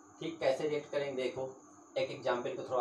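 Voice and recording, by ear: Heard with audible room echo, a man speaks in fairly even intonation.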